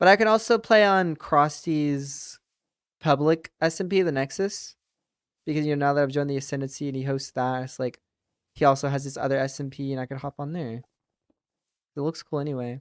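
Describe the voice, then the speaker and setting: Fairly quick speech broken by long, frequent pauses. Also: very clean recording, silent background. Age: 20s. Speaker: gaming streamer. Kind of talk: casual live stream chat. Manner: casual, many fillers.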